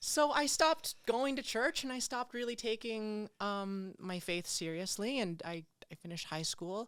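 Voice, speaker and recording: With an American accent and an ordinary speaking voice, a woman speaks at a moderate pace with hardly any pauses, fairly high pitch and lively intonation, on a very clean recording with a silent background. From New Jersey and the Philippines. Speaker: church member and martial artist. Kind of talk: interview about spiritual journey. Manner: casual, many fillers.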